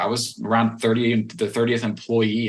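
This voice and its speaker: A man speaks at a fairly quick pace. He has a Western Pennsylvania accent. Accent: Western Pennsylvania American. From Western Pennsylvania, US. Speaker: nonprofit fundraiser and tech business developer. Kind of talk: interview.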